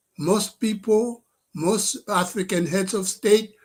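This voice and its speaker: A man talks at a very slow pace. His pitch is high. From DR Congo. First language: French. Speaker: professor and political activist. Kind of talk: political address to live stream audience. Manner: halting, with many fillers.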